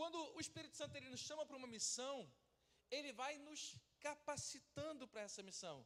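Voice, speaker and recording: A man with an extremely high-pitched voice. His pitch moves up and down in an ordinary way. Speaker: pastor. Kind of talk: sermon. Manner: fast.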